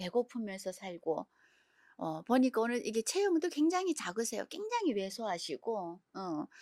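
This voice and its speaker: On a very clean recording with a silent background, a woman speaks with fairly high pitch. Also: dry, close sound with no echo. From North Korea. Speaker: YouTube interview host. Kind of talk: interview.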